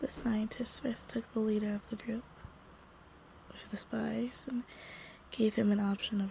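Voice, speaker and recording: A woman whispering, somewhat breathy, at a fairly slow pace. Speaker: podcast story narrator. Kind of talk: reading a creepy story aloud; casual intro. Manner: soft-spoken.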